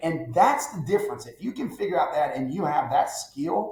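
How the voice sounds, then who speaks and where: Amid audible room echo, a man with a high pitch and an animated tone speaks at a moderate pace, his pitch swinging very widely. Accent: Southern US. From Alabama. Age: 50s. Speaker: business advisor. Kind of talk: podcast interview.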